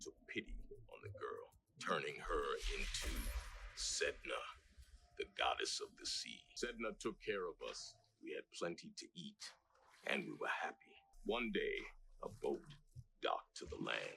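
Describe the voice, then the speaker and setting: A man speaks at a moderate pace in a put-on character voice, pitched extremely high. He leaves long, frequent pauses. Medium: voice reel. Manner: solemn, storytelling.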